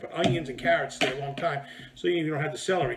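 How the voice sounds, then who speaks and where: A man's voice over noticeable background noise. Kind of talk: cooking tutorial. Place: home room.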